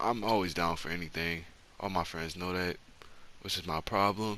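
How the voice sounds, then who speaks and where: Soft-spoken, a man talks in a bright, sharp tone with fairly even intonation. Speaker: storytime youtuber. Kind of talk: storytime monologue. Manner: soft-spoken, talking low; casual, slangy.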